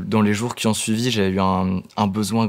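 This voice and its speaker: This man's voice sits fairly low and moves at a fairly slow pace. His intonation stays flat and monotone. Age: 20s. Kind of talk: testimony. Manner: halting, many hesitations and repetitions.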